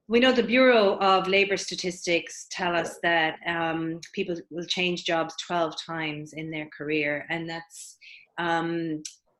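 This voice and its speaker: A woman with an Irish accent and a fairly low pitch. She speaks at a very slow pace with ordinary pitch variation. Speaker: career coach. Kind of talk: webinar presentation. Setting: online webinar.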